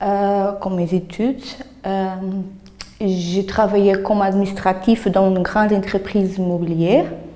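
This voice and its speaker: At a very slow pace with long, frequent pauses, a woman speaks at a medium pitch in a monotone, flat way over noticeable background noise. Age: 30s. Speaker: job training participant. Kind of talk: self-presentation. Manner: halting.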